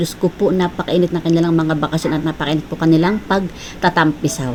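A woman talks at a very fast pace in a fairly low pitch. Noticeable background noise is in the recording. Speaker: cooking vlogger. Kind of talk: cooking vlog. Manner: casual, chatty.

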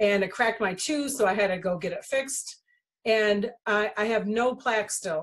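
A woman speaks at a fairly high pitch with ordinary pitch variation. The background is quiet. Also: moderate pace. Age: 50s. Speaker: essential oils distributor and channel host; channel host. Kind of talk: casual monologue to viewers. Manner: halting with frequent fillers. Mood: enthusiastic, convinced. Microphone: video call.

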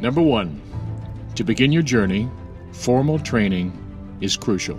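Music plays in the background as a man talks at a fairly slow pace. His pitch is fairly low and his intonation lively. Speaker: Broadway actor. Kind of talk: casual talk to camera, advice tips.

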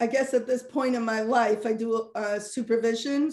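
A dark, mellow tone delivered in monotone, flat intonation at a moderate pace comes through with audible room echo over a quiet background. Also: woman. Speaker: guest. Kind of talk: interview answer. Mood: warm, friendly. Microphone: video call.

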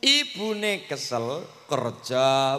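This is a man speaking. His pitch is fairly high. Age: 20s. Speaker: preacher. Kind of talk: sermon. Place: hall. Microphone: handheld.

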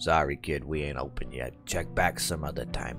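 Over clear background music, a man uses a put-on character voice at a moderate pace. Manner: curt, dismissive.

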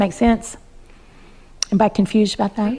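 A woman speaks with an Appalachian accent. Her voice is fairly high, with fairly even intonation. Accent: Appalachian US Southern. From Appalachian mountains, US. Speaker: master herbalist; presenter. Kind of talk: workshop talk to a live audience; informal talk to a small group. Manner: hesitant, with many fillers. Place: home room.

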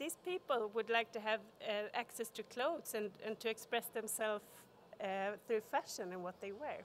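At a moderate pace, the speaker talks in a Swedish accent over light background noise. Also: woman. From Sweden. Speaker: corporate sustainability expert; conference speaker. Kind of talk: conference talk. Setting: stage with audience. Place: hall. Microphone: podium.

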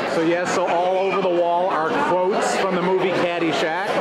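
Crowd noise fills the background as the speaker talks at a moderate pace. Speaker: food vlogger. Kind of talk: casual vlog chat. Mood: jovial, upbeat. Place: bar. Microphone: phone near.

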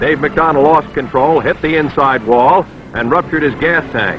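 With music in the background, a man talks at a moderate pace in a fairly high pitch. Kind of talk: newsreel narration.

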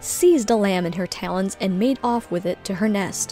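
A woman at a moderate pace, dry sound with no echo, with faint music in the background. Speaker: streamer and storyteller; streamer, storyteller. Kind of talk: reading aloud. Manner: calm. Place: home room.

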